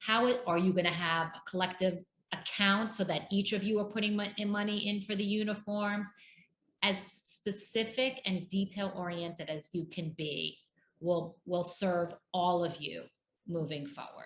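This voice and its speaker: Somewhat breathy, a woman speaks at medium pitch. Her pace is fairly slow and her intonation fairly even. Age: 50s. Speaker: divorce coach. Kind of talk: interview.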